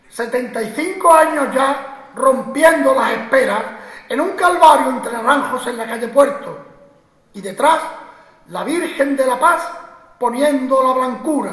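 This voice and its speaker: Over noticeable background noise, a man speaks at a fairly slow pace in a solemn tone with an extremely high pitch. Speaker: Holy Week proclaimer, orator. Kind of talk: ceremonial oration with rhymed verse, poetic declamation. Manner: solemn, rhetorical, rhythmic, impassioned.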